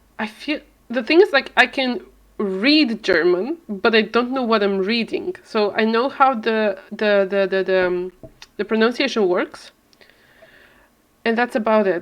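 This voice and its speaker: A woman with an Eastern European accent, fairly high in pitch, at a fairly slow pace with lively intonation and long, frequent pauses. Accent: mild Eastern European. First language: not English, a lesser-known language. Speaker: video game streamer. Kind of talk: casual live-stream chat.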